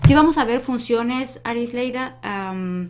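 Speech comes at a fairly slow pace with ordinary pitch variation. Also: woman. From Mexico. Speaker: math teacher. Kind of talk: live-streamed lesson. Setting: live stream. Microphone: webcam.

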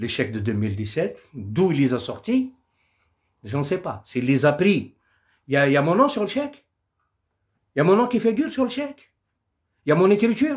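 A man shouts in a furious tone at a high pitch with very wide swings, moving at a moderate pace with long, frequent pauses over a quiet background. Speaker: Kabyle singer doing a live. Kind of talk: angry rant. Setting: live stream on social media. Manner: furious, combative and threatening. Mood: angry, defiant. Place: home room. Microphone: phone near.

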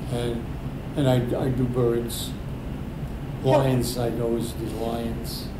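With an American accent, a man talks at a very slow pace, leaving long, frequent pauses, against noticeable background noise. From Brooklyn, New York. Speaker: painter, Navy veteran. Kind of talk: interview answer. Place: meeting room.

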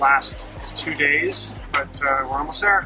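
Music in the background behind a man's voice. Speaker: sailing vlogger. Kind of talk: casual vlog chat. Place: boat. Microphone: phone near.

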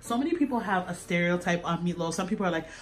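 There is light background noise behind a woman as she talks. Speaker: host filming her father. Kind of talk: casual vlog chat. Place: kitchen.

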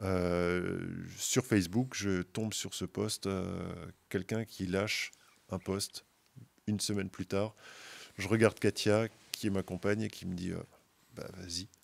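Speaking at a fairly slow pace with long, frequent pauses, a man with a fairly low pitch keeps a monotone, flat intonation. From Moselle, eastern France. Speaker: carp angler, brand team member; podcast guest. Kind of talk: casual chat. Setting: outdoors at a fishing event. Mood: relaxed anecdotal. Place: studio. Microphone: studio mic.

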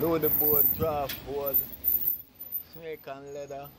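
With noticeable background noise behind it, the voice moves at a very slow pace in a monotone, flat intonation. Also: man. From Jamaica. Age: 80s+. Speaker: board maker. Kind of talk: interview answer. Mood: earnest, pleading. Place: street.

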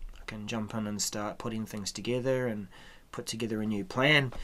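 The pace is moderate. A man does the talking. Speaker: software trainer. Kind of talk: tutorial. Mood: relaxed, mildly impatient.

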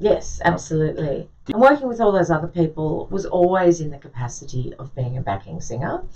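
Fairly quick with hardly any pauses, a woman speaks at a fairly low pitch in a dark, mellow tone laced with vocal fry. Her pitch swings very widely, and her loudness rises and falls in big swings. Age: 60s. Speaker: singer and vocal coach. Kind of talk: radio interview. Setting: radio studio. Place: studio.

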